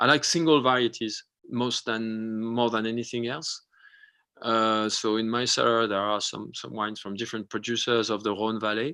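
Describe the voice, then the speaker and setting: In a very clean recording with a silent background, a man speaks with a French accent at a medium pitch. His tone is bright and sharp, his pace moderate and his intonation fairly even. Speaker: winemaker. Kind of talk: interview on a live video show. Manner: halting, many fillers and restarts.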